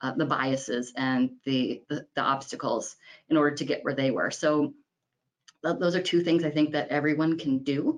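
This woman has an American accent and a very deep, low pitch. She talks at a moderate pace with fairly even intonation. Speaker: architect firm owner. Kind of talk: panel discussion.

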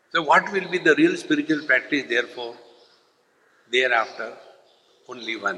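A man with an Indian accent, fairly high in pitch and bright, sharp in tone, with lively intonation at a moderate pace and long, frequent pauses. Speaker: spiritual teacher. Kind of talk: spiritual lecture. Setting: stage with audience.

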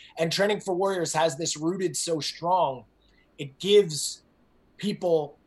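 Here a man speaks with a New Jersey accent at a moderate pace. His voice is high-pitched and his tone energetic. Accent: New Jersey American. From US Northeast, New Jersey. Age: 40s. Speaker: fitness coach and entrepreneur. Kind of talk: interview.

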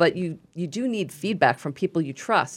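A woman speaks with a Brooklyn accent. The background is quiet. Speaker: playwright, radio guest.

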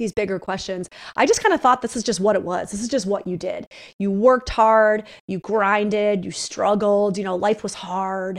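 A woman with an American accent and fairly even intonation on a very clean recording with a silent background. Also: medium pitch for a woman, moderate pace. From upstate New York. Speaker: psychotherapist and author. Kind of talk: interview conversation. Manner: blunt.

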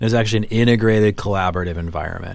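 With a Midwestern US accent, a man speaks in fairly even intonation. The recording is very clean, with a silent background. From US Midwest. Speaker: podcast host. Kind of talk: casual chat. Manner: jokey, bantering.

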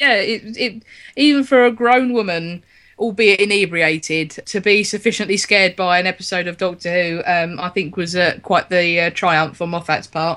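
A woman with a London accent speaks at a medium pitch and a moderate pace, her tone bright and sharp. Her pitch variation is ordinary, and the background is quiet. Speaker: podcast host. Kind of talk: casual chat.

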